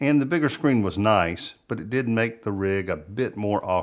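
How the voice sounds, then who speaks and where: A man with a Southern US accent speaks at a moderate pace with ordinary pitch variation, in a very clean recording with a silent background. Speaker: wildlife photographer, video creator. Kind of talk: gear review monologue. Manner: conversational.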